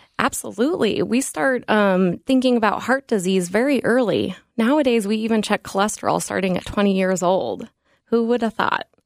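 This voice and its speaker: A woman with an unremarkable speaking voice and an American accent, fairly high in pitch, at a moderate pace with ordinary pitch variation, in a very clean recording with a silent background. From Colorado. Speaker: cardiology nurse practitioner. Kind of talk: radio interview.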